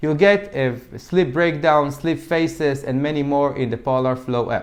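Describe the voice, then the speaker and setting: A man with an Israeli accent speaks at a fairly high pitch. He goes at a fairly slow pace, with ordinary pitch variation. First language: Hebrew. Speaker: fitness tech reviewer. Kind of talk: product review. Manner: occasional stumbles and false starts.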